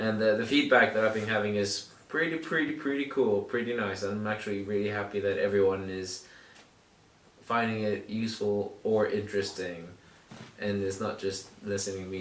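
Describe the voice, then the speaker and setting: A man with an American accent, a fairly low pitch and a bright, sharp tone, heard with audible room echo. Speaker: podcast host. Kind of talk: casual chat. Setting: home recording in shared flat.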